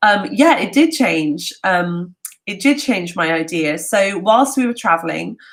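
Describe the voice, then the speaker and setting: At a fairly slow pace, a woman with a London accent talks in an animated tone at a medium pitch, her pitch swinging very widely. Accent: southern English (London). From London, England. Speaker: travel talk host. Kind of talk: live Q&A. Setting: livestream from home. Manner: halting, many fillers.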